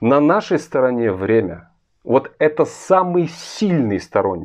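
A man's intonation is lively, and the background around him is quiet. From Russia. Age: 40s. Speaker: political commentator. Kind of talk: video monologue. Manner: earnest. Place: home room. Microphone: phone near.

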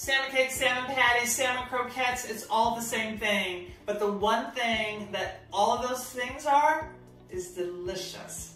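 Faint music plays in the background while a woman talks at a fairly slow pace. Audible room echo surrounds her voice. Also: ordinary pitch variation. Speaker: chef host. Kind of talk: cooking tutorial. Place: kitchen.

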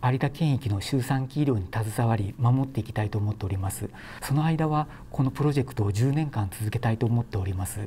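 At a fairly quick pace, the voice comes through somewhat breathy with a dark, mellow tone and ordinary pitch variation, over light background noise. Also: man. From Japan, Shimane (Hamada); Shimane, Japan. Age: 40s. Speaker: obstetrician. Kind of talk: news interview statement. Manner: formal. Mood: calm, earnest, polite. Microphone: lapel.

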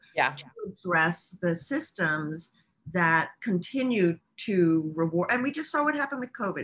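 Her fairly low voice swings very widely in pitch as the woman speaks at a moderate pace. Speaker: guest. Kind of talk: interview answer. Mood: exasperated about inequity. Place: home room. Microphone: video call.

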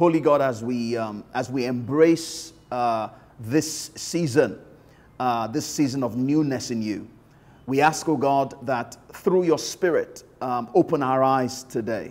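At a fairly unhurried speed, a man talks with ordinary pitch variation. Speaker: pastor. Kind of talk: sermon opening and prayer. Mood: warm, calm, reverent. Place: office. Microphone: lapel.

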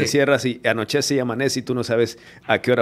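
A man rattles along at a very fast pace in a flat, monotone delivery. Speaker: podcast host. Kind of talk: live podcast host talk. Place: studio. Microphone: studio mic.

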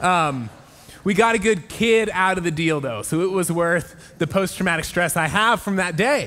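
A man speaks with a bright, sharp tone. His pace is moderate and his pitch varies in an ordinary way. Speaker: pastor. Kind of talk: sermon. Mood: warm, humorous. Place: church. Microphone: headset.

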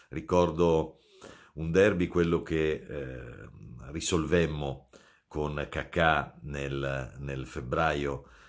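A man talks with a very deep, low pitch and vocal fry. His intonation stays fairly even against a quiet background. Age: 50s. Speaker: football commentator. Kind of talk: casual video monologue. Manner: halting, with many fillers. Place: home room. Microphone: phone near.

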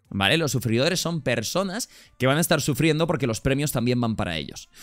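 A man talks at a fairly quick pace in an animated tone, his pitch swinging very widely. Faint music plays in the background. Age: 20s. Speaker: streamer. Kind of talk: livestream chat. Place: home room. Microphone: studio mic.

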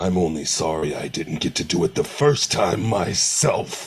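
A man's very deep, low voice, menacing in tone, with lively intonation. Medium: voice reel. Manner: menacing, cold.

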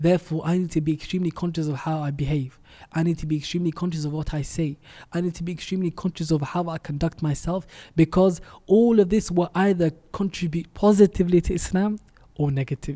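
The speaker talks very fast with fairly even intonation and a dark, mellow tone. The background is quiet. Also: man. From Denmark. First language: not Arabic (speaking Arabic). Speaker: Islamic preacher. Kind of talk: preaching message in English; interview. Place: studio. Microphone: studio mic.

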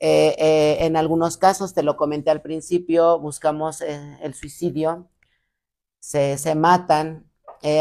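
Flat, monotone intonation comes over a quiet background. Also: woman. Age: 30s. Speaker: recovering alcoholic and rehab center owner; podcast guest. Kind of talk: testimony. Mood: earnest personal storytelling. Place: studio.

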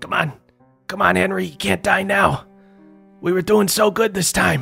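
A man does a put-on character voice, strained and raspy, high in pitch for a man. He speaks at a moderate pace over faint music in the background. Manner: urgent, desperate.

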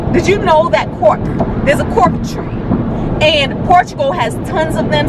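A woman talks at a moderate pace over loud background noise, her sound dry with no echo. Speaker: vlogger. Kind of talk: casual vlog chat. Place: car. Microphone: phone near.

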